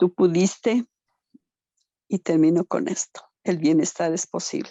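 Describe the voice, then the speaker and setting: The woman's voice sits at a medium pitch and moves at a very slow pace. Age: 60s. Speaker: participant in survivor support talk. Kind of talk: emotional audience comment in video meeting.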